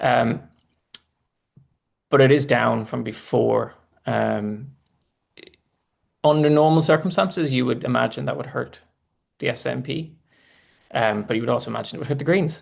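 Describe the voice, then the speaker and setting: A man with a Northern Irish accent, speaking at a moderate pace with long, frequent pauses. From Northern Ireland. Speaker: political commentator. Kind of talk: live election analysis. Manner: halting, many restarts.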